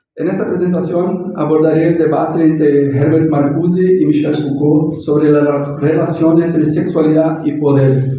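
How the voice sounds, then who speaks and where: With a Portuguese accent, a man speaks at a fairly high pitch and a fairly slow pace, with audible room echo. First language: Portuguese (speaking Spanish). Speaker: academic researcher. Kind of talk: conference talk read from text. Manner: reading aloud.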